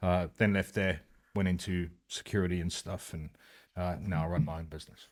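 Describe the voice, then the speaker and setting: On a very clean recording with a silent background, a man with a South African accent speaks at a very deep, low pitch, a moderate pace and with fairly even intonation. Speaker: motorcycle club president, ex-police officer. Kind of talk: casual interview.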